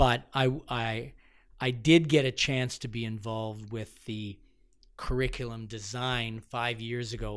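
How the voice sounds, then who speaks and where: Here is a man with a Canadian accent and an unremarkable speaking voice at medium pitch. His intonation is fairly even, his loudness swings widely, and the recording is very clean with a silent background. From Ontario, London. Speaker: media educator. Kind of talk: interview.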